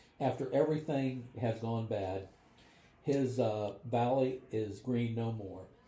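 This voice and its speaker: In a Midwestern American accent, a man speaks at a fairly slow pace and medium pitch, his voice somewhat breathy and dark, mellow in tone, with fairly even intonation and audible room echo. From US Midwest, northwest Ohio (Van Wert County). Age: 70s. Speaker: podcast host. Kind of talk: casual chat, film discussion over dinner. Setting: around a dinner table at home.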